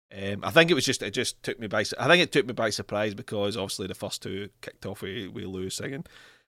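On a very clean recording with a silent background and a dry, close sound with no echo, a man with a bright, sharp tone and lively intonation races at a very fast pace with hardly any pauses. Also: fairly low pitch for a man. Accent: Scottish. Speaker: podcast host. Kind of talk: casual chat.

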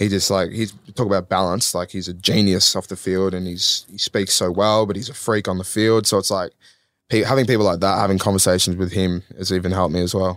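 In an Australian accent, a man with a very deep, low voice talks at a fairly quick pace with fairly even intonation on a very clean recording with a silent background. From Australia, Melbourne. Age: 20s. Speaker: professional footballer. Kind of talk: casual chat.

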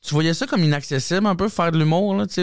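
Speaking with a plain, everyday voice, a man goes at a fairly quick pace with lively intonation. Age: 30s. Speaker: comedian. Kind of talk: casual chat.

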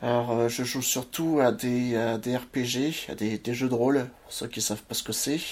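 At a fairly slow pace, a man speaks with fairly even intonation and a medium pitch. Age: 30s. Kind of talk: casual family chat; personal storytelling interview. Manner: halting, repeats words.

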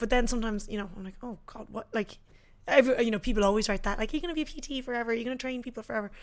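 Speaking very fast with an Irish accent, a woman uses a fairly high pitch, ordinary pitch variation and big swings in loudness. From Ireland. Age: 20s. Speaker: fitness influencer. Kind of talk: casual chat.

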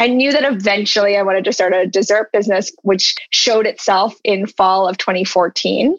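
Using an ordinary speaking voice, a woman talks at a moderate pace and medium pitch, with ordinary pitch variation. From US South, Charlotte, North Carolina. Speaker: ice cream entrepreneur. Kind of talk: interview.

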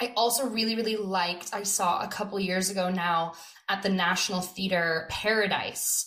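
Against noticeable background noise, a woman with an American accent and medium pitch speaks at a moderate pace with fairly even intonation. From California. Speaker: theatre director. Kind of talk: interview.

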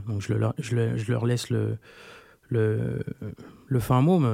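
In a very clean recording with a silent background, a man speaks at a medium pitch with a dark, mellow tone and monotone, flat intonation. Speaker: rapper. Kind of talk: casual chat. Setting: studio.

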